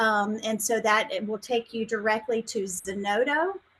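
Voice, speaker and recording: Speaking in a South Carolina accent, a woman keeps a moderate pace and ordinary pitch variation. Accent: Southern US (South Carolina). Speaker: science outreach specialist. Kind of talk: webinar presentation. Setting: video call from home.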